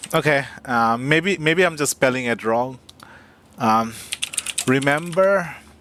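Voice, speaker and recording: Over noticeable background noise, a man with a fairly high voice talks very slowly with ordinary pitch variation and long, frequent pauses. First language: not English. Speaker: game streamer. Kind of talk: live gameplay commentary. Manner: halting.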